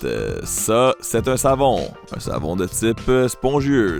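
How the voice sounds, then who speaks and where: A man speaks with music in the background. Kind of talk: comedic voiceover.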